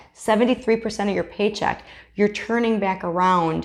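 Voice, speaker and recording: An animated woman at a medium pitch and moderate pace, against a quiet background. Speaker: business coach. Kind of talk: online course tutorial.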